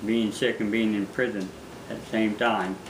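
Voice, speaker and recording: Noticeable background noise and audible room echo around a man speaking at a moderate pace in a monotone, flat intonation. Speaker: fisherman, former prisoner. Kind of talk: interview testimony. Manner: halting, repeats words.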